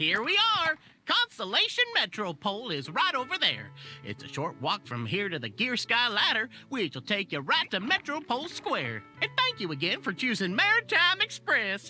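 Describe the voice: Using a put-on character voice, a woman speaks with few pauses at a fairly high pitch in a bright, sharp tone with very wide pitch swings, faint music in the background. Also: moderate pace.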